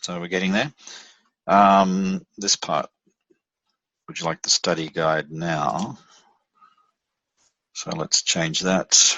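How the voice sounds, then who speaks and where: A man with an Australian accent speaks at a very slow pace, his pitch very deep and low. Long, frequent pauses break up his speech, and his pitch varies in an ordinary way. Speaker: software platform presenter. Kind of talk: screen-share tutorial. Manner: halting, many fillers and restarts.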